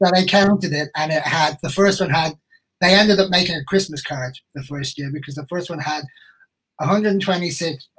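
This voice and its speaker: With an Irish accent, a man speaks at a fairly quick pace and a high pitch. His loudness swings widely. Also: ordinary pitch variation. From Ireland. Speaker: crime novelist. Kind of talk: casual interview chat.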